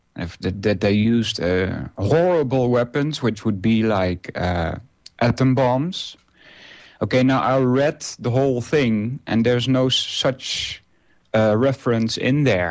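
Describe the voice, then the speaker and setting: A man with a non-native accent and a medium-pitched voice speaks very slowly. His intonation is lively. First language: Dutch. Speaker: radio host. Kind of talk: casual monologue. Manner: halting, many fillers.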